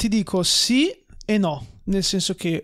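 Against a quiet background, a man talks at a high pitch with ordinary pitch variation. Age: 20s. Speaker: entrepreneur and former footballer; podcast guest. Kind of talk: casual chat. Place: studio. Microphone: studio mic.

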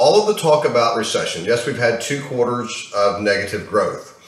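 A man speaks at a fairly quick pace. Audible room echo is present. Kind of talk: casual vlog chat. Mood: frustrated, animated. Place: home room. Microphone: webcam.

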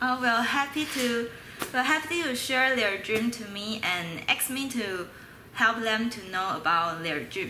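A woman with a Mandarin accent speaks at a fairly high pitch with lively intonation, with audible room echo and light background noise. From Taiwan. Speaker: university student. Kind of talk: casual interview. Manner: halting, hesitant with fillers. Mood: friendly, smiling. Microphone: webcam.

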